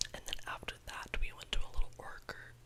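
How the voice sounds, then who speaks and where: A woman whispers. Noticeable background noise runs behind her. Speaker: YouTuber. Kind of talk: ASMR whisper ramble. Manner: whispered, casual.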